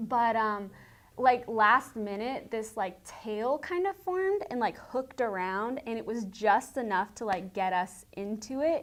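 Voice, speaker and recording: Someone with a slight Southern US accent speaks at a fairly slow pace on a very clean recording with a silent background. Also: woman, fairly high pitch for a woman, lively intonation. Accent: slight Southern twang. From Tennessee. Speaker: student morning show host. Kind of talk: casual chat.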